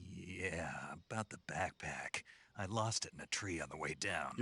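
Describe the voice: A man puts on a character voice that is raspy and very deep, with a low pitch. He speaks at a moderate pace.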